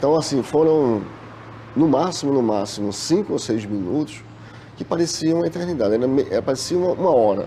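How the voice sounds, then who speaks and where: Noticeable background noise sits under a man who speaks at a fairly high pitch and a fairly quick pace with lively intonation. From Brazil, Recife, Pernambuco. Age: 40s. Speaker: bank worker, trauma survivor. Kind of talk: testimony.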